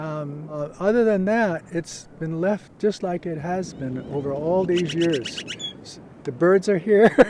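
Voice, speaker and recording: Against noticeable background noise, a man talks fairly slowly in a high pitch with ordinary pitch variation and big swings in loudness. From Hawaii (Honolulu). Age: 70s. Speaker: veteran surfer. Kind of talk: interview monologue. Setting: outdoors at a beach. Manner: halting, many fillers.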